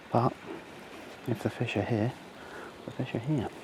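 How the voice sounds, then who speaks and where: A man at a moderate pace, fairly even in intonation, over noticeable background noise. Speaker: angler vlogger. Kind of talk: outdoor vlog commentary. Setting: outdoors by a lake. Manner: casual; quiet.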